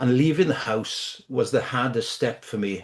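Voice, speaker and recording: Moderately paced speech from a man with a British accent and a medium pitch, against a quiet background. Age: 60s. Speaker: photography lecturer. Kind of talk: webinar presentation. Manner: halting.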